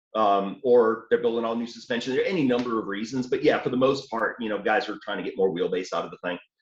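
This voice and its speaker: A medium-pitched man with a slight Southern US accent, very fast and with hardly any pauses, his pitch varying in an ordinary way. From New Orleans, Louisiana. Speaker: off-road hobbyist. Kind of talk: casual chat. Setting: call.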